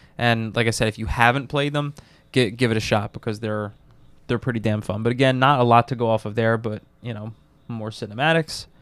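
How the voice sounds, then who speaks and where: An unremarkable speaking voice from a man, medium in pitch with fairly even intonation at a fairly quick pace, in a very clean recording with a silent background. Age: 30s. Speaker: gaming podcast co-host. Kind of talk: casual chat.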